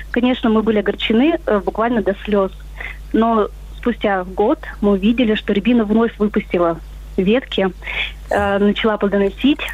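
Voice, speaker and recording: Against noticeable background noise, a woman speaks at a medium pitch with ordinary pitch variation, very even loudness and long, frequent pauses. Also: moderate pace. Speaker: caller. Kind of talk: storytelling. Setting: phone call.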